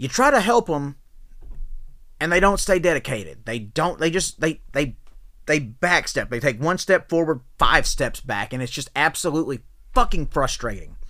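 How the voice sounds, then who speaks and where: This man's voice sits fairly high, with a bright, sharp tone, very wide pitch swings, a moderate pace and some vocal fry. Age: 30s. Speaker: podcast host and professional wrestler. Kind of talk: rant. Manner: animated.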